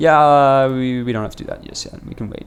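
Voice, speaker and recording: Putting on a character voice, a man mumbles very fast at a medium pitch, with fairly even intonation and big swings in loudness. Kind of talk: casual, game commentary. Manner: mumbling, hesitant.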